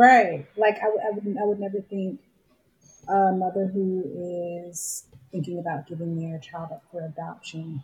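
With an American accent and a somewhat breathy voice, the speaker goes at a fairly slow pace, using ordinary pitch variation and big swings in loudness. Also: woman, medium pitch for a woman. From US South, Augusta, Georgia. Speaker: independent filmmaker. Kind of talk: casual chat. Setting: studio.

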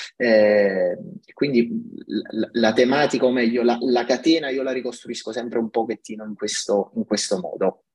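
At a moderate pace, a man of medium pitch talks with fairly even intonation. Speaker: tech company CTO. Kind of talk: podcast interview. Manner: halting, many fillers and repetitions.

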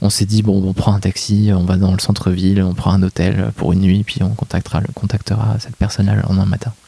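Dry and close with no echo, a man's fairly low, dark, mellow voice moves at a fairly quick pace in a monotone, flat intonation. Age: 30s. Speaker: management consultant, disaster witness. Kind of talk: testimony interview. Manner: halting.

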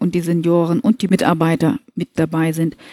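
The sound is dry and close, without any echo. A woman's voice comes through with a dark, mellow tone. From northern Hesse, Germany (Kassel). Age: 50s. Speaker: movement trainer for senior care staff. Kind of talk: interview.

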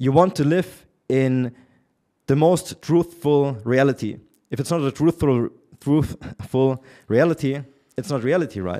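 Fairly high-pitched for a man yet dark and mellow in tone, his voice moves at a fairly slow pace with ordinary pitch variation and long, frequent pauses. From Germany. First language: German. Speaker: entrepreneur and relationship commentator. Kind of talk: casual interview. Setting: in person. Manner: opinionated.

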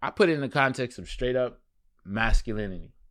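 A man with a New York accent talks at a moderate pace in a very clean recording with a silent background. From Brooklyn, New York City. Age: 30s. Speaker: fashion journalist and magazine editor. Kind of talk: casual interview.

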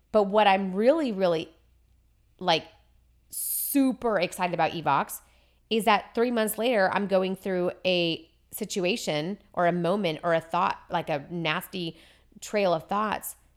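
A woman speaks in a plain, everyday voice at a fairly slow pace, with medium pitch and ordinary pitch variation. The recording is very clean with a silent background. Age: 40s. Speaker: cancer survivor. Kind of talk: casual chat.

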